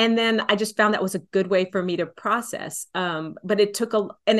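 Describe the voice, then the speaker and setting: A woman with a Texan accent talks at a fairly quick pace and medium pitch, with ordinary pitch variation. The background is quiet. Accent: Texan American English. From Texas, San Antonio. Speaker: folk singer-songwriter. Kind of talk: casual interview.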